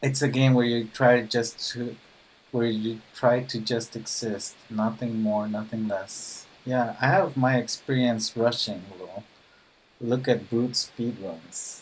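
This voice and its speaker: Soft-spoken and very slow, a man keeps his medium-pitched voice fairly even in intonation. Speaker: gaming streamer. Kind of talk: live stream chat while gaming. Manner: slow, calm.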